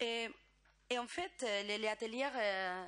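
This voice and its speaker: Speaking with a Spanish accent, a woman uses a fairly high pitch with ordinary variation at a fairly slow pace. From Spain. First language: Spanish (speaking French). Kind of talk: conference presentation. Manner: halting, many hesitations.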